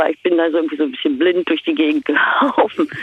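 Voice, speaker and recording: A woman at a moderate pace. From East Berlin, Germany. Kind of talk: casual phone interview.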